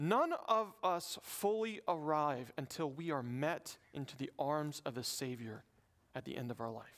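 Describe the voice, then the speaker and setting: Lively intonation carries a man's fairly high pitch. He speaks with a Southern US accent. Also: fairly slow pace. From US South. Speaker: pastor. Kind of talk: sermon.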